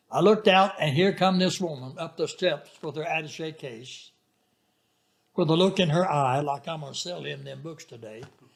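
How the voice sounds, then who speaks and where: A fairly high-pitched man with a Southern US accent, at a moderate pace with ordinary pitch variation. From Arkansas. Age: 90s. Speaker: retired pastor. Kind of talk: interview storytelling.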